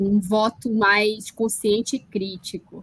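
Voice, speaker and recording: A woman speaks at a fairly slow pace in a fairly high, somewhat breathy voice. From Brazil, Amazonas (Parintins). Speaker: linguistics professor. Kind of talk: interview on live political show.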